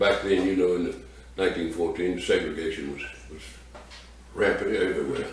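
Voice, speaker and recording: Amid noticeable background noise and audible room echo, a man talks at a fairly quick pace with long, frequent pauses and big swings in loudness. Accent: American. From US South, Louisiana (Scotlandville, Baton Rouge). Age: 80s+. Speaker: retired sheriff's deputy. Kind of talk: interview, life story. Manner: halting, many fillers.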